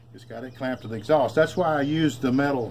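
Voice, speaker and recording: Very fast speech from a man, with ordinary pitch variation and noticeable background noise. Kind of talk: casual show-and-tell explanation. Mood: proud, easygoing. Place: garage. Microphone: phone near.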